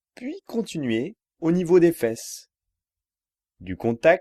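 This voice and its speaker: A man talks at a very slow pace in a calm, soothing, dark and mellow tone with very wide pitch swings, recorded dry and close with no echo against a quiet background. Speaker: yoga relaxation guide. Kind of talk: yoga nidra guided relaxation for sleep. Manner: calm, slow, soothing.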